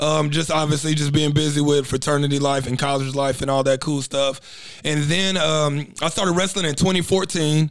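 An unremarkable speaking voice with an American accent keeps fairly even intonation and very even loudness. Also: man, fairly high pitch for a man, moderate pace. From Texas, Dallas. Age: young. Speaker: professional wrestler and fitness coach. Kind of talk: casual interview chat. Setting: studio.

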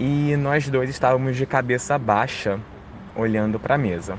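With noticeable background noise, a man speaks at a medium pitch, a moderate pace and ordinary pitch variation. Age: 30s. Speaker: storyteller sharing supernatural experiences. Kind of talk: personal testimony.

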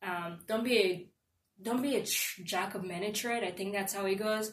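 Amid audible room echo, a woman speaks at a fairly quick pace in a medium pitch, somewhat breathy and with fairly even intonation. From Nigeria, moved to Evanston, Illinois at 14. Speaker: engineering student. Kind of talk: casual interview.

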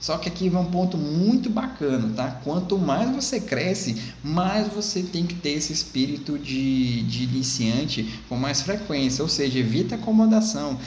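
There is noticeable background noise and audible room echo. A man talks at a moderate pace with lively intonation. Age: 30s. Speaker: sales coach. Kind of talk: tutorial.

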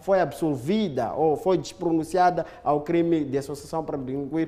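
A man with a high voice, ordinary pitch variation and a moderate pace, against noticeable background noise. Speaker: legal expert. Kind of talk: studio commentary. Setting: studio.

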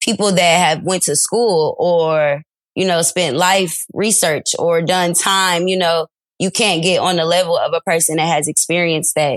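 A woman with an American accent and a fairly low pitch, a plain, everyday voice with fairly even intonation, in a dry, close sound with no echo. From Detroit, Michigan. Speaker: teacher and social media creator. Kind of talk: interview testimony.

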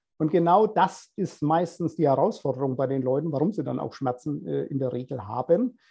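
A man talks with lively intonation and hardly any pauses. His fairly high voice carries vocal fry. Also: moderate pace. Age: 50s. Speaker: personal trainer. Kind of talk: casual interview.

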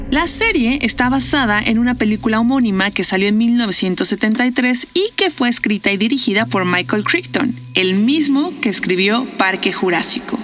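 With a Mexican accent, a woman talks at a fairly slow pace with hardly any pauses, in a fairly high pitch with lively intonation. Her loudness stays very even over noticeable background noise. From Mexico. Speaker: podcast host. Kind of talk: casual monologue. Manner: animated.

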